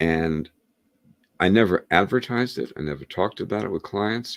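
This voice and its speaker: A man talks with lively intonation and vocal fry. The sound is dry and close, with no echo. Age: 70s. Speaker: hypnotist and author. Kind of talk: interview. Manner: halting.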